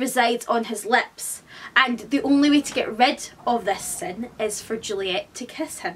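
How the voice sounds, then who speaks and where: A woman with a Scottish accent at a very slow pace, over light background noise. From Scotland. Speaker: book vlogger. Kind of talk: casual educational talk to camera. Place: home room. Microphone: camera far.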